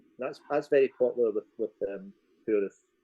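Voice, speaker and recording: In a Scottish accent, a man speaks with a dark, mellow tone and ordinary pitch variation, recorded dry and close with no echo. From Scotland. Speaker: tour guide. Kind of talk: casual interview chat. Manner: halting, repeats words.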